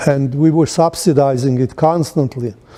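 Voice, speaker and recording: A man with a non-native accent at a moderate pace, ordinary pitch variation, and noticeable background noise. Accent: foreign. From Poland, then Israel. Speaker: Holocaust-era refugee and businessman. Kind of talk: oral history interview. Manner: halting, many false starts.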